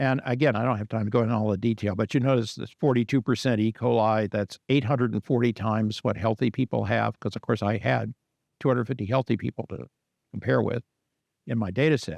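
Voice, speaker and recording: A man speaks very fast with vocal fry and ordinary pitch variation. The sound is dry and close with no echo, over a quiet background. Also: medium pitch for a man. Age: 70s. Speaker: scientist giving a lecture. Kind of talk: lecture. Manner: conversational with fillers.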